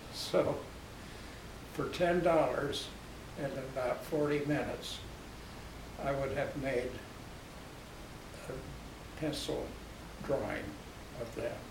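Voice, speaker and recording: A man with an American accent speaks at a very slow pace with long, frequent pauses. Noticeable background noise and audible room echo fill the recording. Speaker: war veteran. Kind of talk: storytelling interview.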